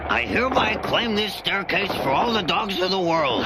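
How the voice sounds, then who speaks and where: Over loud background noise, a man puts on a high-pitched cartoonish character voice at a moderate pace. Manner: wisecracking, whiny.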